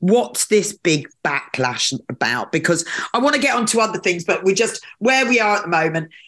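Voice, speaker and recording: Her medium-pitched voice carries vocal fry and very wide pitch swings as this woman talks at a moderate pace with very even loudness. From UK. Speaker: radio host. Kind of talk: casual interview chat. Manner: informal, banter.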